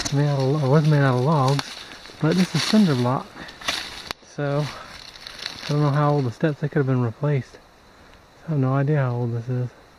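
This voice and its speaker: In a relaxed tone, a man with a fairly high pitch and fairly even intonation speaks at a moderate pace with long, frequent pauses over noticeable background noise. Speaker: metal detecting hobbyist vlogger. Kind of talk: casual outdoor vlog narration. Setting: outdoors in woods. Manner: relaxed, filler-heavy.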